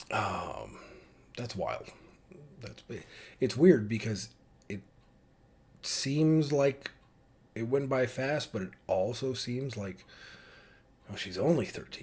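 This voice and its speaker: A somewhat breathy man at a medium pitch, with ordinary pitch variation, a very slow pace and long, frequent pauses. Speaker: vlogger father. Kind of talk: casual monologue. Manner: halting.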